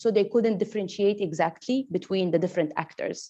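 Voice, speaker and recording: With a quiet background, a woman speaks in a dark, mellow tone with ordinary pitch variation. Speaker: researcher presenting findings. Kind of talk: workshop presentation Q&A. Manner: fast.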